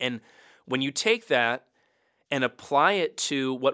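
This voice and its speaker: Over a silent background on a very clean recording, a man with a Mid-Atlantic American accent speaks at a medium pitch in a bright, sharp tone. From US, Baltimore. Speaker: pastor. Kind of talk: casual interview.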